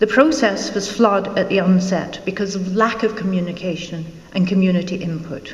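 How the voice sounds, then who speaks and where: A woman speaks at a moderate pace in a Scottish accent. Noticeable background noise and audible room echo are present. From Scotland. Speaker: local election candidate. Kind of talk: campaign speech. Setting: public forum with audience. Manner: formal.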